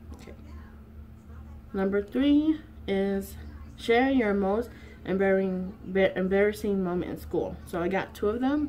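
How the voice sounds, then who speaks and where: Speaking at a fairly slow pace with long, frequent pauses, a woman uses lively intonation at a medium pitch. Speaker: YouTuber. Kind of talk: casual vlog chat.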